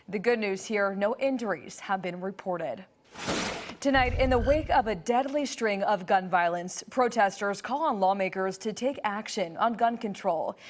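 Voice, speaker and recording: Over noticeable background noise, a woman at medium pitch talks at a moderate pace with ordinary pitch variation. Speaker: news anchor. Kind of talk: television news anchor delivery.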